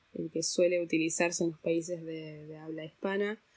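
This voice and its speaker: A woman is speaking. Her pitch is fairly low. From Argentina, raised partly abroad (diplomat's daughter). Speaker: translator. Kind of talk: interview.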